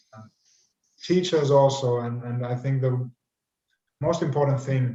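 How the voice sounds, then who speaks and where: A man with a medium pitch and dark, mellow tone sounds somewhat breathy. He talks at a moderate pace with fairly even intonation. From Finland. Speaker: teacher. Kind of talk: online panel discussion. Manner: halting, repeats words.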